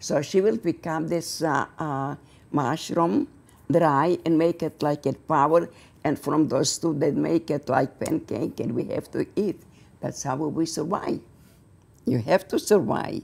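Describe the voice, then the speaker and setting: A woman's very deep, low voice with ordinary pitch variation, at a fairly slow pace, in an Eastern European accent. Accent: Eastern European, non-native English. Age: 80s+. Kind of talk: interview answer.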